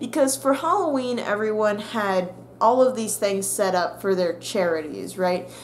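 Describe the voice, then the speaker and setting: A woman's medium-pitched voice at a moderate pace, with lively intonation and light background noise. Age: young. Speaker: YouTuber and college student; YouTuber. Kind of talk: casual vlog monologue. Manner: animated. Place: home room. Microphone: webcam.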